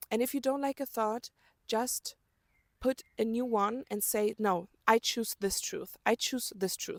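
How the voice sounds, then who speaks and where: A woman with a German accent speaks at a fairly slow pace with a fairly high pitch and ordinary pitch variation, in a dry, close sound with no echo on a very clean recording with a silent background. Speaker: self-help vlogger. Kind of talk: motivational talk to camera.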